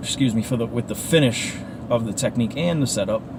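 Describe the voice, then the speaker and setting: A man with an American accent and lively intonation, over noticeable background noise. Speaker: martial arts instructor. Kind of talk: casual talk to camera while driving. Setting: in a car. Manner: casual, rambling.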